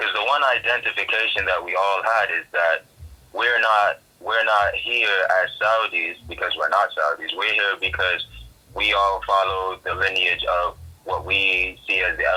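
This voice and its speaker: A man's moderate pace carries through noticeable background noise. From Saudi Arabia. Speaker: music producer. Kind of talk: casual interview chat. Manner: hesitant with many fillers.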